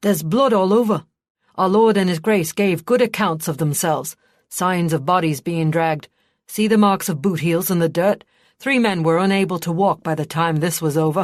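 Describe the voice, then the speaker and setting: A female-sounding put-on character voice, gruff and growling at a middle pitch, moves at a moderate pace. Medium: read story. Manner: growling, gruff.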